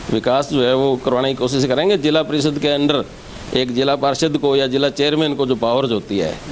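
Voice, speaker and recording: Over noticeable background noise, a man with a fairly high pitch talks at a moderate pace, keeping very even loudness and fairly even intonation. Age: 60s. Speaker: local election candidate, retired education officer. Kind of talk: interview.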